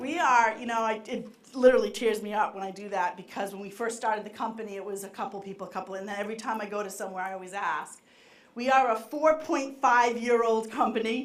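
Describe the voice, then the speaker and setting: A woman with a Boston accent and a fairly high pitch, talking at a very fast pace in an energetic tone with ordinary pitch variation, big swings in loudness and audible room echo. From Boston area, US. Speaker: marketing executive. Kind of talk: conference keynote talk. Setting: stage with live audience. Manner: fast when excited.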